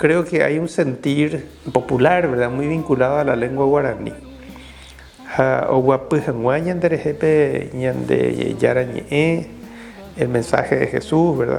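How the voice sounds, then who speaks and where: A man speaks at a fairly slow pace. Noticeable background noise can be heard. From Paraguay (Caazapá). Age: 60s. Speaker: Jesuit priest. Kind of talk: interview testimony. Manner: halting, many fillers.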